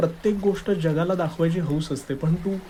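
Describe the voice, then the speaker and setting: The speaker is a man. His pitch is fairly high. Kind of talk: scripted romantic dialogue voiceover. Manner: hesitant, then warm and sincere.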